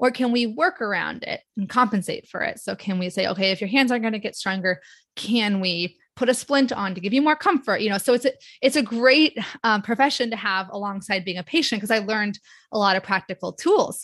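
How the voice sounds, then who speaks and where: A woman with a plain, everyday voice speaks at a fairly quick pace and a fairly high pitch, her pitch varying in an ordinary way over a quiet background. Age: 40s. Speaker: occupational therapist and patient advocate. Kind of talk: casual interview.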